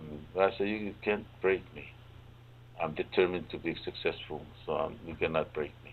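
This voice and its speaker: A man with a very deep, low voice talks at a moderate pace with fairly even intonation. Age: 70s. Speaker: farmer. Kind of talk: talk show interview.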